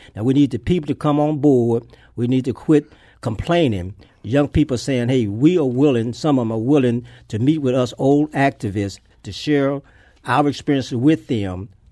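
Speaking at a moderate pace, a man uses a medium pitch with ordinary pitch variation and a dark, mellow tone. The background is quiet. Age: 70s. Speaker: civil rights activist. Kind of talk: radio interview. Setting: studio.

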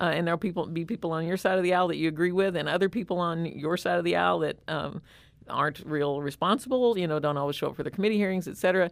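Very fast speech from a woman with an American accent, a fairly low pitch and ordinary pitch variation, on a very clean recording with a silent background. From rural Southern Illinois. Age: 60s. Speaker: nonprofit executive director, former state legislator. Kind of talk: interview. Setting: studio.

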